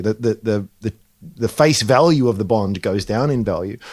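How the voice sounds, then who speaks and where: In an Australian accent, a man talks at a fairly quick pace on a very clean recording with a silent background. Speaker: investment analyst co-host. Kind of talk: casual chat.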